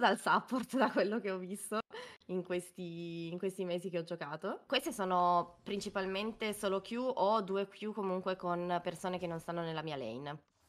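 A woman speaks with lively intonation at a medium pitch. She has a plain, everyday voice. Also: moderate pace. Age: 20s. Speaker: amateur esports player being coached. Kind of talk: game coaching session.

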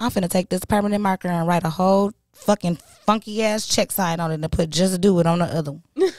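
A woman of medium pitch talks at a very fast pace in an animated tone, in a dry sound with no echo and a quiet background. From Michigan, Ann Arbor; Michigan. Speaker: podcast host. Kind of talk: casual chat. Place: studio. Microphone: studio mic.

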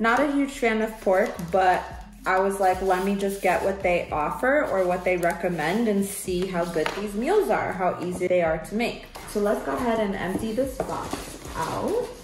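Music plays in the background as a woman speaks. Her pace is moderate and her pitch variation ordinary. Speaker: home cook vlogger. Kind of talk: casual vlog chat. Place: kitchen. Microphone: camera far.

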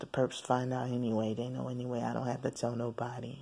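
A woman speaks quietly in a monotone, flat intonation, her tone dark and mellow and her pitch very deep and low. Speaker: vlogger. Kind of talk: video diary. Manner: hushed, quiet; halting, many fillers.

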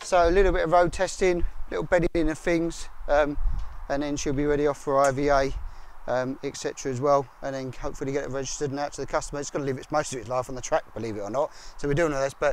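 Very fast and with fairly even intonation, a man's voice comes through dry with no echo. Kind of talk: walkaround commentary. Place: street. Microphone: phone near.

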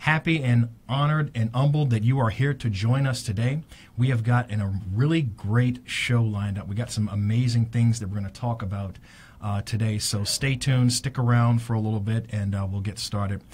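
A somewhat breathy man at a fairly quick pace, with light background noise. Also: ordinary pitch variation. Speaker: radio show host. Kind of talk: radio show opening monologue. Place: studio. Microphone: studio mic.

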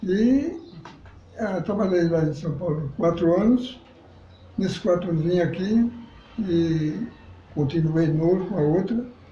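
A high-pitched man speaks at a fairly slow pace with ordinary pitch variation and long, frequent pauses. Audible room echo and light background noise are present. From Northeast Brazil, Pernambuco countryside. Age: 80s+. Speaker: elderly local resident; interviewee. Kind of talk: interview. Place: home room.

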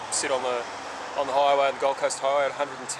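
A man's voice over loud background noise. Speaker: motorcycle traveller vlogger. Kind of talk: casual vlog chat. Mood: relaxed and pleased. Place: street.

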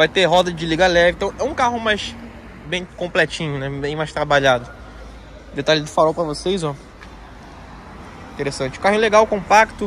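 Long, frequent pauses break up this man's high-pitched speech at a moderate pace with ordinary pitch variation. The sound is dry with no echo, and light background noise is present. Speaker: presenter. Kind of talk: casual product walkaround. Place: street. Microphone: phone near.

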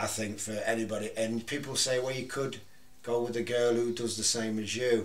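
At a moderate pace, a man with an East Midlands accent speaks at a medium pitch in a monotone, flat intonation. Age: 40s. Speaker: retired adult film actor, photographer; podcast guest or host. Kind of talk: casual chat. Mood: relaxed, candid. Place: studio. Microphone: studio mic.

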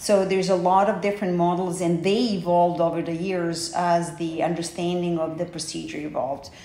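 Against noticeable background noise, a woman with a Serbian accent talks at a fairly quick pace in a fairly low, monotone, flat voice with hardly any pauses. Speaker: hair transplant coordinator. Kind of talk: interview.

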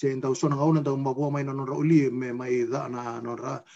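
Against a quiet background, a man speaks at a fairly high pitch with a dark, mellow tone. His intonation is monotone and flat, at a moderate pace. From Fiji, Macuata province; Fiji. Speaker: interviewee. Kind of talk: casual chat. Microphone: video call.

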